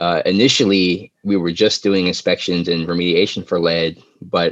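Recorded with a dry, close sound with no echo and a quiet background, a man speaks at a moderate pace with a very deep, low pitch. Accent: American. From PG County, Maryland. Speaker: environmental health nonprofit director. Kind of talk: interview.

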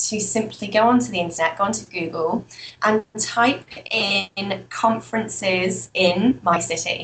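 A woman with a British accent talks at a fairly slow pace with ordinary pitch variation against noticeable background noise. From UK. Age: 20s. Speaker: entrepreneur and trainer. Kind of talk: interview.

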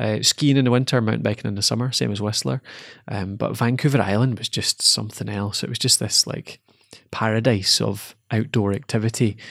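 The speaker has a Scottish accent and a fairly quick pace with ordinary pitch variation. The recording is very clean with a silent background. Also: man, fairly low pitch for a man. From Scotland, Dumfries. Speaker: podcast host. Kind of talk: casual chat; scripted outro.

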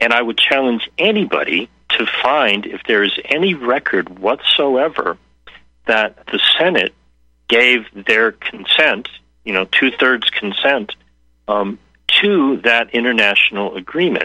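Using a normal speaking voice, a man at medium pitch talks at a fairly slow pace with lively intonation. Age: 60s. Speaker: health policy researcher and activist. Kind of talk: interview.

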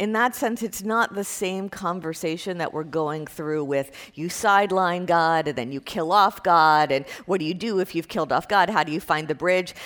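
A woman with an American accent and an unremarkable speaking voice, fairly low in pitch with ordinary pitch variation, at a moderate pace with hardly any pauses, on a very clean recording with a silent background. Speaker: university professor. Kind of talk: lecture. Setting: classroom with students. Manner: conversational with fillers.

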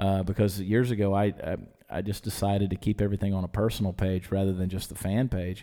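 A man with an American accent speaks at a very fast pace, his fairly low pitch carrying a dark, mellow tone. His intonation is monotone and flat, and the recording is very clean with a silent background. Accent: Southern US, muted. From US South, Georgia. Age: 40s. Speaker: TV and internet personality, musician. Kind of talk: casual chat.

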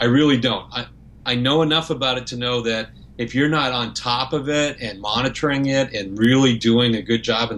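At a moderate pace, a man with an ordinary speaking voice and medium pitch talks with fairly even intonation. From Canada. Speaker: property management company owner. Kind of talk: podcast interview.

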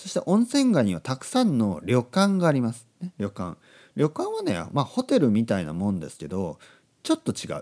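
A man speaks at a moderate pace. The recording is very clean, its background silent. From Japan, Oita (Kyushu). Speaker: Japanese language teacher podcaster. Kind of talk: language-learner podcast monologue.

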